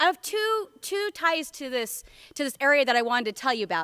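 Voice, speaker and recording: With an American accent, the speaker uses a raised, projected voice in a bright, sharp tone with very wide pitch swings. The recording is very clean, with a silent background. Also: woman, dry, close sound with no echo. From US Northwest, Portland Oregon. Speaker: education curriculum director. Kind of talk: keynote speech. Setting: conference stage with audience, microphone. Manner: loud; casual, many fillers.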